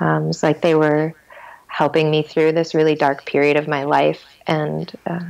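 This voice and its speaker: A woman is speaking. Her pace is moderate. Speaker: energy medicine teacher. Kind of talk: interview answer.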